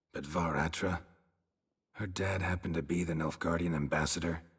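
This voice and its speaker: In a put-on character voice, a man speaks at a moderate pace with very deep, low pitch and monotone, flat intonation. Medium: video game. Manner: terse, dry, deadpan.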